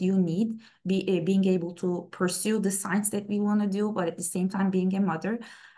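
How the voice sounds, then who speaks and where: In a Turkish accent, a woman speaks at a moderate pace with fairly even intonation. The background is quiet. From Istanbul, Turkey; Turkey. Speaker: plant scientist; presenter. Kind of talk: webinar talk. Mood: personal, warm storytelling. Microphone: webcam.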